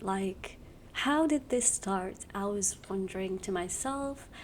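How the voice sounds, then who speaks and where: Whispering at a very slow pace. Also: woman. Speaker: youtuber. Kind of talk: casual explainer video.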